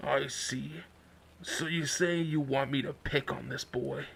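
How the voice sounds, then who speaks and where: A raspy, put-on character voice from a man, medium in pitch and fairly slow, with clear background noise. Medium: read story. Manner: grave, aloof.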